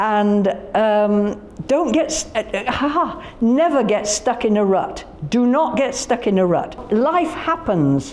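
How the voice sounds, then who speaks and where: A woman with a Yorkshire accent speaks very slowly at a fairly high pitch. Audible room echo and noticeable background noise fill the recording. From Yorkshire, northern England. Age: 80s+. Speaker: festival founder. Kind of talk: casual interview chat. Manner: animated.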